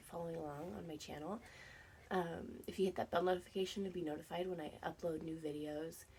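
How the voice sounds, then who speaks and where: A woman's fairly low-pitched voice with a dark, mellow tone and ordinary pitch variation. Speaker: reseller vlogger. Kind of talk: casual vlog chat. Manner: casual with many fillers.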